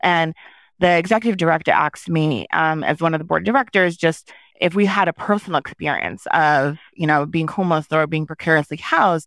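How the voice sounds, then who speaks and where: Recorded very cleanly against a silent background with a dry, close sound and no echo, a woman with an American accent uses an ordinary speaking voice at a fairly low pitch, with ordinary pitch variation and a fairly quick pace. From New York, Haitian American family. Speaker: nonprofit executive director. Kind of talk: interview.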